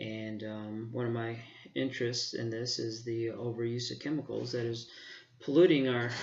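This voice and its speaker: A man's medium-pitched voice in an American accent, monotone and flat, with audible room echo and noticeable background noise. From Arizona, Phoenix area. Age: 40s. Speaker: park manager and student. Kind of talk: self-introduction.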